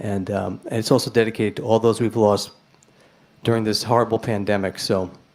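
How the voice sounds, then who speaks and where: A man with a New York accent speaks at a fairly quick pace in a medium pitch. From New York City, Manhattan. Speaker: blues rock guitarist and singer. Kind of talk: stage banter between songs. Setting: live-streamed club gig. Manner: chatty, animated.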